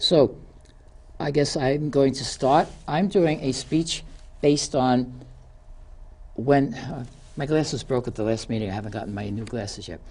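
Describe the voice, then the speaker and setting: In a New York accent, a woman talks with a very deep, low pitch and lively intonation. She keeps a moderate pace with long, frequent pauses. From New York City (Queens). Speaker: community TV show host. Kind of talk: prepared speech. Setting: studio.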